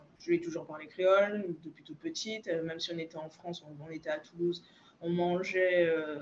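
Using a normal speaking voice, a woman speaks fairly quickly at a fairly low pitch. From Guadeloupe. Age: 30s. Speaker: naturopath. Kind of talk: interview.

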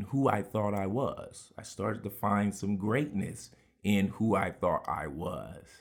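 A man with an unremarkable speaking voice talks fairly slowly at a fairly low pitch. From Houston, Texas. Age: 30s. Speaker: podcaster. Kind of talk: personal memoir monologue.

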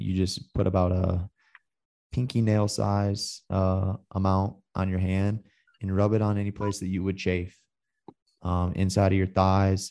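A man with an American accent speaks in a very deep, low voice with a dark, mellow tone and monotone, flat intonation, at a fairly slow pace with long, frequent pauses over a quiet background. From US Midwest (Michigan). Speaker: hunting podcast host. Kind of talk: casual interview chat.

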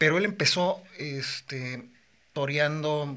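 A fairly high-pitched man with a Mexican accent. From Mexico, Morelia, Michoacán. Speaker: bullfighter. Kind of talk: casual chat.

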